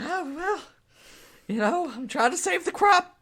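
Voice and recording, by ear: A put-on character voice, wheezy and raspy, at an extremely high pitch and a moderate pace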